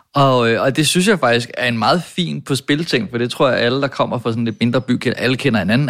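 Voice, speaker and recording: Lively intonation marks this man's plain, everyday voice. He speaks at a moderate pace in a medium pitch. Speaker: podcast host. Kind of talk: casual banter.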